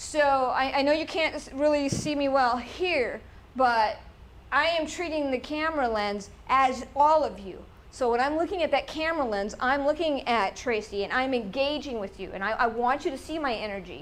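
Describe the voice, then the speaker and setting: A woman talks with a high pitch, keeping a moderate pace. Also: ordinary pitch variation. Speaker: presenter giving a talk on pitching. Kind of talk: webinar presentation.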